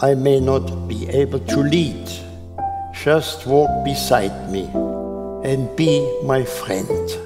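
Over loud music in the background, a man speaks at a very slow pace. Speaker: Holocaust survivor. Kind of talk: life advice. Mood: earnest, gentle. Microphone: lapel.

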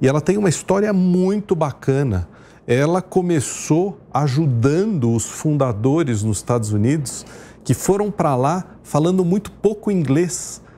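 A man's dark, mellow tone with lively intonation at a fairly slow pace, over light background noise. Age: 50s. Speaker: restaurant chain executive; guest. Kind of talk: TV interview. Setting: studio. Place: studio. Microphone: lapel.

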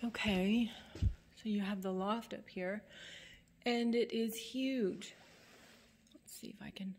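A somewhat breathy woman's voice, very slow, with fairly even intonation. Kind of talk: casual vlog chat. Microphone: phone near.

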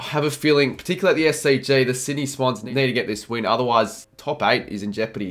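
The man's delivery is fairly quick. Pitch shifts in an ordinary way. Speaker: sports tipping vlogger. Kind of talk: commentary. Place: home room.

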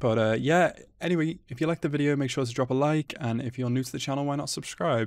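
Against a quiet background, the dry sound carries a man talking fairly quickly with ordinary pitch variation. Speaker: anime reaction youtuber. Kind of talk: casual vlog chat. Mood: excited and nervous. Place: home room.

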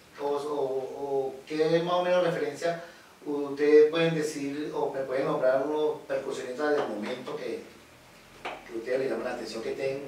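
Amid audible room echo and light background noise, a man with a fairly high pitch talks at a moderate pace with ordinary pitch variation. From Venezuela, Caracas. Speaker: percussionist, channel host. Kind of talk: interview. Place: studio.

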